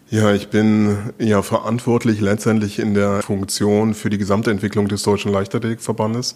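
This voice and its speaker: A man's fairly low voice at a moderate pace, monotone and flat, with very even loudness and hardly any pauses. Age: 50s. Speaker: sports federation director. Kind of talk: interview. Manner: hesitant, with repetitions.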